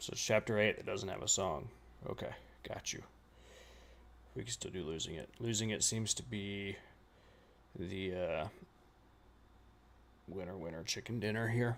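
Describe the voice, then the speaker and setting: A man with an American accent speaks at a fairly low pitch and moderate pace, with vocal fry. His pitch variation is ordinary, and he leaves long, frequent pauses. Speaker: reaction streamer. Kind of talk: live stream reaction chat.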